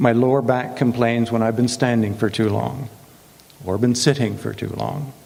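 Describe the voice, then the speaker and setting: Over noticeable background noise, a man at medium pitch talks at a moderate pace with fairly even intonation. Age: 70s. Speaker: guest speaker. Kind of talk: prepared talk. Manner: warm.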